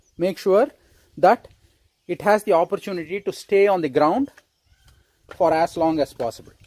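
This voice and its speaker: A man with a high pitch and lively intonation talks at a moderate pace with long, frequent pauses, in a dry, close sound with no echo. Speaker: rainwater harvesting enthusiast, homeowner. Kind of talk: informal video update answering viewer questions. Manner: halting, self-correcting.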